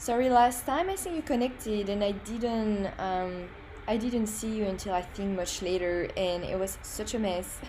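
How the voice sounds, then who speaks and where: In a strong French accent, a woman speaks at a moderate pace with a fairly high pitch and ordinary pitch variation. Audible room echo surrounds her voice. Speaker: graphic designer. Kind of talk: livestream tutorial. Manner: casual, hesitant with fillers.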